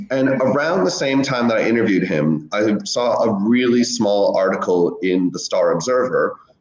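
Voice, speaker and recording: Noticeable background noise behind a man's American accent. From United States. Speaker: historian. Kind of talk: interview.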